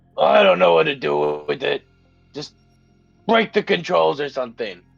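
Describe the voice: Over faint background music, a man speaks at a moderate pace in a rumbling, put-on character voice. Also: medium pitch for a man.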